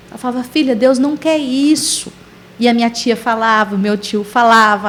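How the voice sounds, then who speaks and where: A woman speaks at a moderate pace in a fairly high voice, her intonation fairly even, with noticeable background noise behind her. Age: 40s. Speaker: missionary. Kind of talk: testimony.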